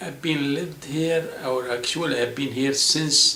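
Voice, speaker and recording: Audible room echo and noticeable background noise surround the speaker. He is a man with a fairly high voice, talking at a fairly slow pace. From South Lebanon, Palestinian refugee camp near Tyre. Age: 60s. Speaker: school administrator and adjunct college teacher. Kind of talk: interview. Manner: halting, with self-corrections.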